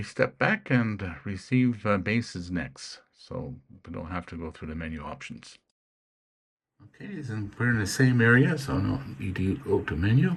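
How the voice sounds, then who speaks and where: The voice belongs to a man with a fairly low pitch and vocal fry. He moves at a moderate pace with very wide pitch swings. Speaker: ham radio hobbyist youtuber. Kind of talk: tutorial. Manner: halting, many fillers.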